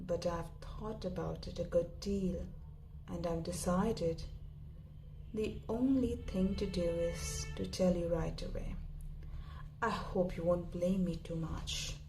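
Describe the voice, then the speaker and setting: With music in the background, a woman speaks at a very slow pace, leaving long, frequent pauses. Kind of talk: story reading, audiobook-style narration. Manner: soft-spoken, whispery.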